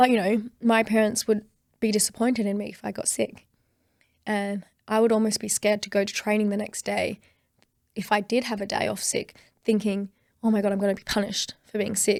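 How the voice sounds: On a very clean recording with a silent background, a woman speaks at a moderate pace in a slightly mellow tone with vocal fry and little pitch movement. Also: medium pitch for a woman.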